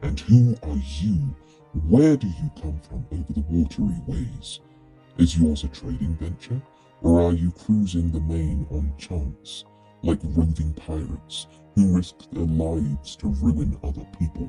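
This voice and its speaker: In a booming, put-on character voice with a very deep, low pitch, a man speaks at a fairly slow pace as faint music plays in the background. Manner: demanding, threatening.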